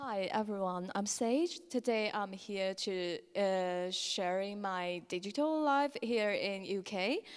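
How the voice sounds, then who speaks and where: At a very slow pace with hardly any pauses, a woman speaks in a medium pitch with ordinary pitch variation. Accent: Chinese. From China. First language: Chinese. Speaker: lightning talk speaker. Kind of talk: conference talk. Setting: stage with audience.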